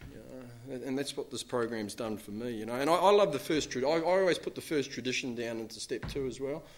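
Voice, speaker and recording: A man with a New Zealand accent speaks at a very fast pace and medium pitch, with ordinary pitch variation and big swings in loudness. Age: 40s. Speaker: recovering alcoholic speaker. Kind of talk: recovery talk to an audience. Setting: stage with audience. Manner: casual, filler-heavy.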